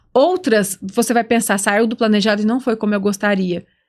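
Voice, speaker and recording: A woman speaks at a fairly high pitch with a Minas Gerais accent. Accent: mineiro (Minas Gerais). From Minas Gerais, Brazil. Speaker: podcast host. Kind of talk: casual podcast conversation.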